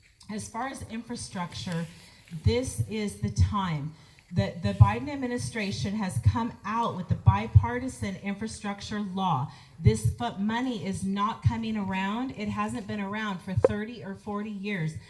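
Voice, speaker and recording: A woman talks at a fairly slow pace and medium pitch. Her pitch swings very widely, and her loudness shifts in big swings. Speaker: political candidate. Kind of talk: candidate forum answer.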